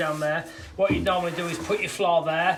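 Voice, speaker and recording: With a Yorkshire accent and fairly even intonation, the voice comes through noticeable background noise and audible room echo. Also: man. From Yorkshire, northern England. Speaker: garden room builder. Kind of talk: tutorial. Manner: fast, barely pausing for breath.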